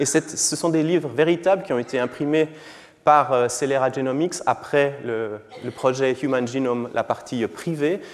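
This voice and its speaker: Through noticeable background noise, a man with a Swiss accent speaks at a moderate pace. His pitch is fairly high, with ordinary variation. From Switzerland. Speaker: physician and genomics professor. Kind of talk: lecture. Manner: hesitant, with fillers and repetitions.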